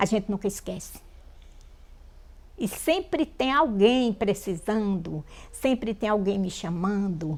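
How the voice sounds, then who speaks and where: Speaking at a very slow pace, a woman holds a medium pitch. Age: 70s. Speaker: folk prayer healer. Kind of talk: documentary interview, testimony.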